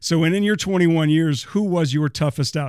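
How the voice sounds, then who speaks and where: At a moderate pace, this man talks in a plain, everyday voice, and his pitch varies in an ordinary way. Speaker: newspaper columnist and podcast host. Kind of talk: interview; podcast monologue.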